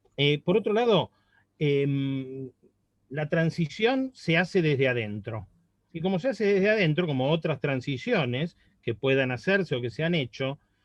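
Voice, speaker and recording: A man speaks with an Argentine accent. His pitch is fairly high. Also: lively intonation, fairly slow pace. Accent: Argentine Spanish (Rioplatense). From Argentina. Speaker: university professor. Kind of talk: academic panel discussion comment. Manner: conversational, with hesitations.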